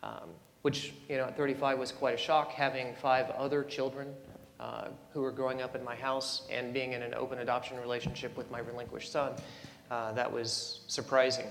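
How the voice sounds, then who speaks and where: A soft-spoken man with a medium pitch talks at a fairly quick pace in a monotone, flat way. Music plays in the background and the room echo is audible. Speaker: panelist, adoptee and birth parent. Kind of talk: panel discussion.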